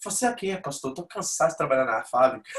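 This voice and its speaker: Very fast and fairly high-pitched, a man talks through noticeable background noise. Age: 40s. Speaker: pastor. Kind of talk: church membership class with personal testimony. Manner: informal, conversational.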